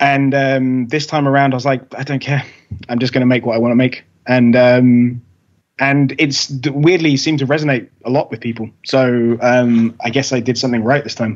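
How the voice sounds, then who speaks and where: A man's medium-pitched voice with an English accent and monotone, flat intonation. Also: moderate pace. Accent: English accent, often mistaken for Australian. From England. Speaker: rock musician. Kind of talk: casual interview chat. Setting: video call. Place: home room. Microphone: video call.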